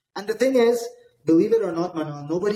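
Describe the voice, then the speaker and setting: Energetic in tone, a man talks with ordinary pitch variation. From Dubai, UAE. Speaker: real estate investor, company founder. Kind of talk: interview.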